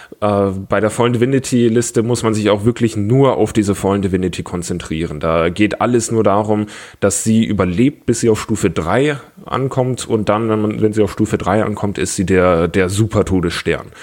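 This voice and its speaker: A man talks at a moderate pace with a fairly low pitch and ordinary pitch variation. His loudness stays very even, and he has an unremarkable speaking voice. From Bavaria, Germany (Augsburg). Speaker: tabletop gaming community organizer. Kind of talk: casual podcast chat.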